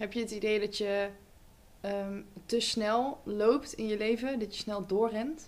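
At a very slow pace, a woman speaks at a fairly high pitch with fairly even intonation. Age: 20s. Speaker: podcast host. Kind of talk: casual chat.

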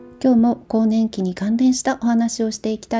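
A woman talks at a moderate pace in a dark, mellow tone that is somewhat breathy. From Japan, Kumamoto. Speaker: podcast host on herbal medicine and diet. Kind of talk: casual talk.

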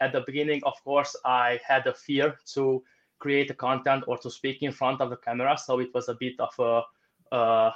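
A man with a Romanian accent speaks at a medium pitch against a quiet background. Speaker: online entrepreneur. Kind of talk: interview answers. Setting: video call.

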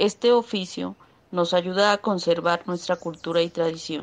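A woman's ordinary speaking voice, fairly low in pitch and fairly slow, over a quiet background. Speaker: artisan. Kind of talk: promotional pitch.

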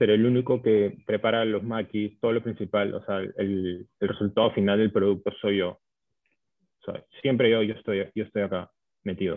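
A man with a Peruvian accent speaks at a fairly low pitch and a moderate pace in a monotone, flat intonation. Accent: Peruvian Spanish (Lima). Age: 20s. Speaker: chef and food business owner. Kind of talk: interview. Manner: hesitant, many fillers.

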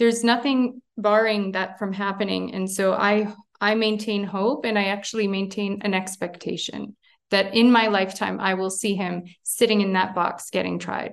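Speaking in a Montreal accent, a woman talks at a moderate pace with a medium pitch and monotone, flat intonation. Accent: Canadian English (Montreal). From Montreal, Canada. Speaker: international law expert. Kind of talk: interview. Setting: remote call from abroad.

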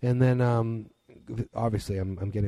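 With an American accent, a man talks at a fairly quick pace in a somewhat breathy voice with a dark, mellow tone and fairly even intonation. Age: 30s. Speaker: podcast host. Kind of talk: solo monologue. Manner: hesitant, many fillers.

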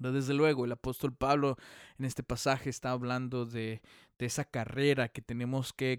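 A man speaks in a monotone, flat intonation on a very clean recording with a silent background and a dry, close sound with no echo. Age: 30s. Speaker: evangelical pastor and podcast host. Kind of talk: solo podcast talk, sermon-like. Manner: halting, with fillers and repetitions.

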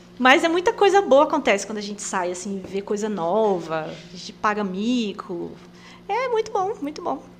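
Over noticeable background noise, a woman talks with big swings in loudness. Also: moderate pace. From Rondônia, Brazil (Presidente Médici). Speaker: missionary. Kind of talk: casual interview. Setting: studio.

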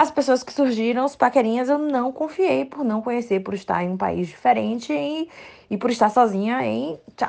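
A woman speaks at a moderate pace in a fairly high voice. Her tone is animated and her intonation lively. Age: 30s. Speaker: listener testimonial. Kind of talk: recorded testimony.

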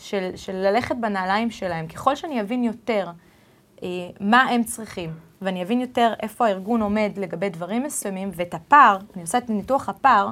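Pitch varies in an ordinary way as the voice moves along at a fairly quick pace. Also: woman. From Israel and US. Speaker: HR director. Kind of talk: interview. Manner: halting.

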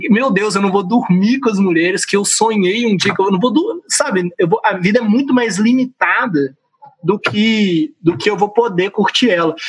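This man talks at a moderate pace with very even loudness. His pitch is high, with ordinary variation. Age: 20s. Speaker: singer and voice professional. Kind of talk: casual chat.

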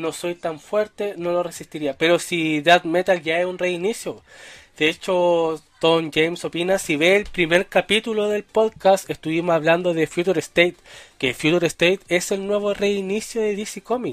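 The recording is very clean and the background silent. Intonation remains fairly even throughout. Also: man, high pitch for a man, moderate pace. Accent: Chilean. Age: 20s. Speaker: podcast host. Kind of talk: casual livestream podcast chat. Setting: live stream with chat.

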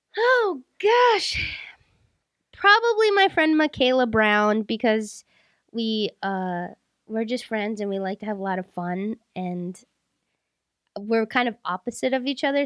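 A woman's fairly high-pitched voice, a plain, everyday voice, at a moderate pace, with a dry, close sound, no echo and a quiet background. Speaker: podcast host. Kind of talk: casual chat.

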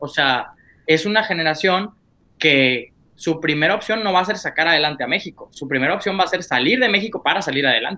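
Talking at a fairly quick pace, a man with a high pitch uses lively intonation. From Monclova, Coahuila, northern Mexico. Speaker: podcast guest. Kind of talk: casual chat.

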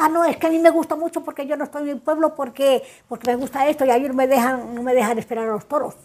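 A woman speaks at a very fast pace. Her high voice shows ordinary pitch variation. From Spain, El Payo (Salamanca). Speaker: elderly resident. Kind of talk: recorded life-story interview. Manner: halting, repetitive.

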